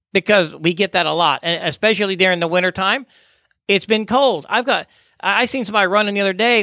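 Raised and projected, a man's bright, sharp, high-pitched voice races at a very fast pace, recorded very cleanly against a silent background with a dry, close sound and no echo. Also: ordinary pitch variation. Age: 50s. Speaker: podcast host and death investigation trainer. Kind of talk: interview. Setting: studio.

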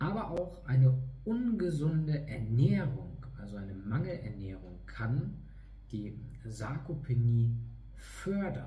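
Amid noticeable background noise and audible room echo, a man speaks at a very slow pace, his loudness swinging widely. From northern Germany, East Frisia (Leer). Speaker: fitness trainer. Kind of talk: online lecture. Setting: online video talk.

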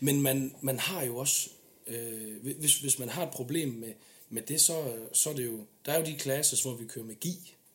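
Fairly slow pace and ordinary pitch variation from a man at a medium pitch, over noticeable background noise. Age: 20s. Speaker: military police officer. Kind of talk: casual interview chat.

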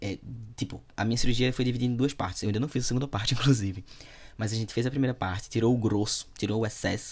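Somewhat breathy, a man talks at a very fast pace. His intonation stays fairly even. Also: medium pitch for a man. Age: 20s. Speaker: podcast host and content creator. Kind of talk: casual solo monologue answering listener questions. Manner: informal, chatty.

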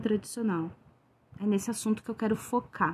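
A woman speaks in an ordinary speaking voice, fairly high in pitch with ordinary pitch variation. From Rio Grande do Sul, southern Brazil. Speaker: tarot reader and witch. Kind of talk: solo podcast monologue.

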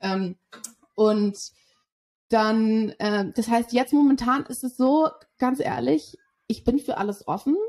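A woman's fairly high, somewhat breathy voice with lively intonation, very slow pace, and long, frequent pauses. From Germany, Berlin. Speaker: sales development representative. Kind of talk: interview.

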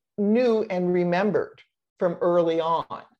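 This woman speaks with an American accent. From Olympic Peninsula, Washington State, US. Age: 60s. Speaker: retired midwife and professor. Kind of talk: casual interview, telling birth story.

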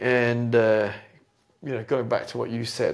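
With a British accent, the male speaker keeps a medium tempo. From UK. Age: 40s. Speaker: entrepreneur and jazz pianist. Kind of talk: casual chat. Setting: home piano room.

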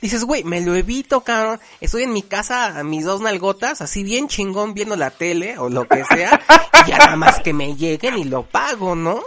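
A high-pitched man speaks at a moderate pace with very wide pitch swings. Noticeable background noise runs underneath. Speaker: podcast host. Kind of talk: casual chat.

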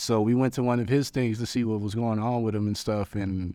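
In a very clean recording with a silent background, a man with an American accent speaks at a fairly quick pace in a dark, mellow tone. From Long Beach, California. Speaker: rapper and musician. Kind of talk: casual interview chat. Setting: outdoors in a park. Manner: projects voice, animated.

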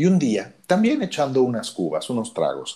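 This man has a Mexico City accent and a dark, mellow tone. He speaks at a fairly slow pace with lively intonation. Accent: Mexico City Spanish (chilango). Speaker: therapist and former radio announcer. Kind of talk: interview storytelling. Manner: animated.

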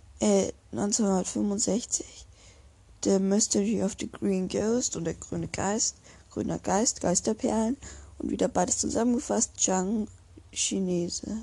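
Speech moves at a very slow pace. Long pauses come often. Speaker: podcaster. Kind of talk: reading aloud. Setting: at home, window open. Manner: halting. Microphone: poor sound quality, open window.

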